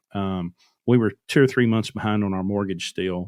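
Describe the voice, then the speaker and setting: A man with a plain, everyday voice speaks at a moderate pace and fairly low pitch, with fairly even intonation. The recording is very clean with a silent background, and the sound is dry and close with no echo. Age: 40s. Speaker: truck owner-operator. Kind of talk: casual chat. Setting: podcast interview.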